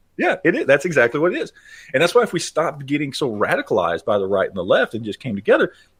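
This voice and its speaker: A man talks at a very fast pace. He has a Texan accent. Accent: Texan American. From Texas, Dallas. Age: 40s. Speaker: gun YouTuber. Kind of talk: podcast interview. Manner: halting.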